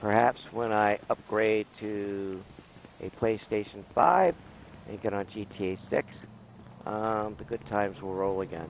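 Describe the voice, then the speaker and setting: Fairly slow and fairly even in intonation, a man talks in a normal speaking voice pitched fairly low. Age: 60s. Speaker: gaming streamer. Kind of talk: live gameplay stream chat. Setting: at home. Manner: casual, with frequent fillers.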